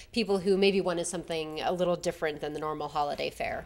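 This woman has a normal speaking voice, fairly low in pitch, with fairly even intonation. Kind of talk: interview answer. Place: hall. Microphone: handheld.

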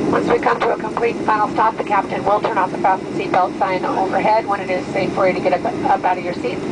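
Loud background noise sits behind speech delivered at a fairly quick pace. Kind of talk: in-flight announcement. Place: plane.

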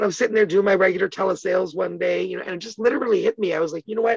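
Very fast speech comes from a woman. The sound is dry with no echo, and the background is quiet. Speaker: interview guest. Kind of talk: interview answer. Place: home room. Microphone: phone near.

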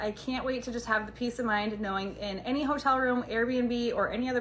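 With ordinary pitch variation, a woman speaks at a fairly quick pace over light background noise. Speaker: product reviewer. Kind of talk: casual product review vlog. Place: home room. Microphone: phone near.

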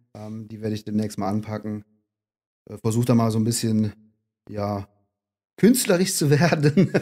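A man talks at a moderate pace in a fairly low pitch, with a dark, mellow tone and ordinary pitch variation. His loudness swings widely, and he leaves long, frequent pauses. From Rhineland, Aachen-Cologne region. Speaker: graffiti artist. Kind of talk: casual interview. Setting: in person by the sea. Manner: halting.

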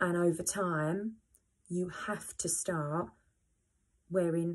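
The woman's voice is somewhat breathy and fairly low in pitch. Her intonation stays fairly even over a quiet background. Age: 30s. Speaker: pole dancer and vlogger sharing scoliosis experience; vlogger sharing scoliosis experience. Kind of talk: personal testimony to camera. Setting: home video, first vlog. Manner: hesitant, many fillers. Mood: earnest, encouraging. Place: home room. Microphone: phone near.

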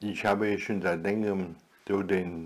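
A man's fairly low-pitched voice, very slow in pace, with fairly even intonation. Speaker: retired video blogger; vlogger. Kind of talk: solo vlog monologue; casual vlog chat. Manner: halting. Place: home room.

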